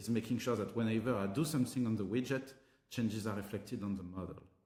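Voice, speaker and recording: A man with a French accent at a medium pitch, very fast, with ordinary pitch variation. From France, Paris. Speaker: tech company co-founder and CTO. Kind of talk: tutorial.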